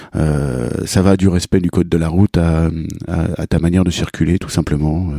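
A man talks at a fairly slow pace with a very deep, low pitch. Noticeable background noise is present. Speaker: podcast host and cycling vlogger. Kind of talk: casual interview.

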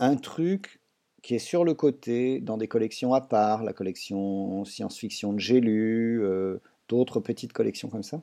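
A man with a plain, everyday voice talks at a fairly slow pace, his pitch medium with ordinary variation. The background is quiet. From France. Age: 60s. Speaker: writer and doctor. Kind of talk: interview.

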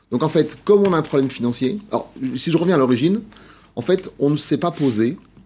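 At a fairly quick pace, a man with an unremarkable speaking voice talks with fairly high pitch and lively intonation. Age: 50s. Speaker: social protection think tank president. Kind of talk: TV interview.

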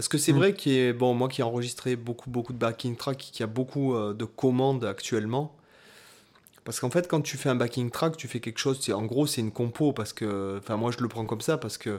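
This is a normal speaking voice. Its pitch variation is ordinary. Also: man, medium pitch for a man, fairly quick pace. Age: 30s. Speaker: guitarist and podcast co-host. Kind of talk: casual chat.

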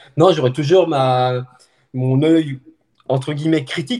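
A man speaks at a moderate pace and a medium pitch. His voice is somewhat breathy. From France, Haute-Savoie. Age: 50s. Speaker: journalist and trail runner filming races. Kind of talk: casual interview chat.

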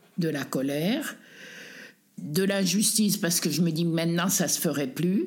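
A woman speaks at a very slow pace with ordinary pitch variation, and audible room echo surrounds her voice. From Savoie, French Alps (Tignes). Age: 80s+. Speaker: displaced villager, retiree. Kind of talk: testimony. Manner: halting.

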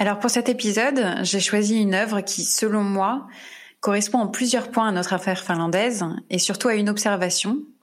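Here is a woman with an unremarkable speaking voice and a medium pitch. She keeps a moderate pace and fairly even intonation. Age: 30s. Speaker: true crime podcast host. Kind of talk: casual chat; scripted narration.

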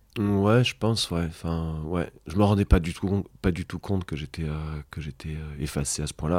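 The recording is very clean with a silent background. A man speaks at a moderate pace in a very deep, low voice with ordinary pitch variation. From Brittany, Rennes. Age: 30s. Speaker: podcast guest, father of three. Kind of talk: intimate interview conversation. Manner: halting, frequent repetitions.

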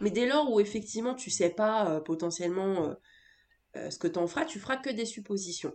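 In a plain, everyday voice, a woman with a medium pitch talks at a fairly quick pace, her intonation lively and her loudness swinging widely. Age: 20s. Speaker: entrepreneur and business coach. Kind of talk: casual interview.

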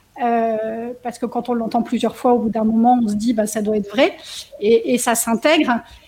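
Noticeable background noise behind a woman's fairly high-pitched voice, at a moderate pace with fairly even intonation. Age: 50s. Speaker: coaching program participant and trainer. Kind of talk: testimony. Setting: video call.

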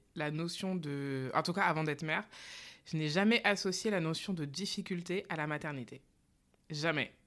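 A woman speaks fairly slowly at a fairly low pitch, with ordinary pitch variation. The recording is very clean with a silent background. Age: 30s. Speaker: relaxation therapist and mother. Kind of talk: casual interview. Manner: hesitant, many fillers.

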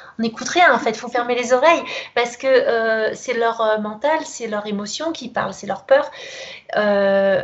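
The woman's high pitch moves with ordinary variation. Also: big swings in loudness. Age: 40s. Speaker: kinesiologist. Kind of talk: interview. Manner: hesitant, many fillers.

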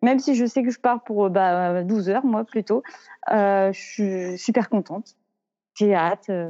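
A woman with a medium-pitched voice speaks very slowly, with ordinary pitch variation. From Normandy, France. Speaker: amateur trail runner. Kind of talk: interview.

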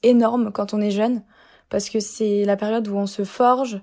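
Recorded very cleanly against a silent background, a woman speaks at a moderate pace in a dark, mellow tone, fairly high in pitch and flat in intonation. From Lorraine, France (Épinal, Vosges). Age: 20s. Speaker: student. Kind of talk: casual interview.

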